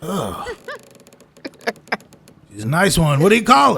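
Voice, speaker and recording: Using a put-on character voice, a man pitches himself high. His pace is moderate. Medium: actual play. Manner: rambling, slurred, chuckling.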